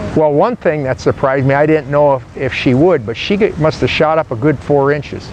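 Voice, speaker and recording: A man's fairly high voice at a fairly quick pace, with ordinary pitch variation, hardly any pauses and noticeable background noise. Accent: American. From United States. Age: 70s. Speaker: father and grandfather. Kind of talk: interview answer.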